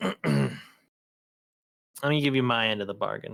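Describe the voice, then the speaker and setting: A raspy put-on character voice from a man, medium in pitch at a moderate pace. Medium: actual play. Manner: blunt, sighing, casual profanity.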